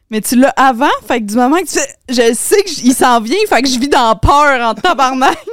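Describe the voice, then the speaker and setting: Her high pitch rising and falling in lively intonation, a woman speaks at a moderate pace. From Quebec, Laval. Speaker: podcaster. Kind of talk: casual chat.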